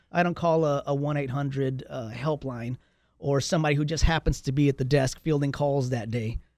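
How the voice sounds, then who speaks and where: In a very clean recording with a silent background, a man with an ordinary speaking voice and an American accent talks at a fairly quick pace in a fairly high pitch, his intonation fairly even. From Texas, San Antonio (southeast side). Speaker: real estate agent. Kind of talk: casual interview chat.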